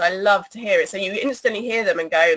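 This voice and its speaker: With an English accent, a woman speaks at a medium pitch. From England. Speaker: singer in an electronic band. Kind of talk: interview.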